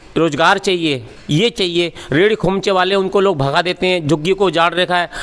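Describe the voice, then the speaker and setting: A high-pitched man's voice with ordinary pitch variation and very even loudness. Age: 60s. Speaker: local voter, party supporter. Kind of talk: street interview. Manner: animated.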